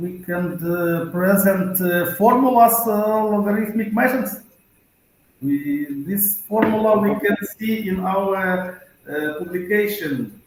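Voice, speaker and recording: A man with a non-native accent speaks at a fairly slow pace in a high voice for a man, with audible room echo. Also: ordinary pitch variation. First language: not English. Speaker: conference presenter. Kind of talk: conference Q&A. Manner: halting, many fillers.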